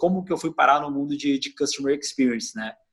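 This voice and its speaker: This voice belongs to a man. It is pitched fairly high. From southern Brazil (Rio Grande do Sul). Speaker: customer experience executive. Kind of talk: interview. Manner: hesitant, with repetitions.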